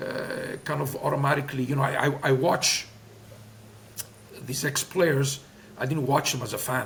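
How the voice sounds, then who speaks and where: In a Greek accent, a man with fairly high pitch talks at a moderate pace with fairly even intonation and long, frequent pauses, with noticeable background noise. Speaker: former soccer player and coach. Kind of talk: interview. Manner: hesitant, many fillers.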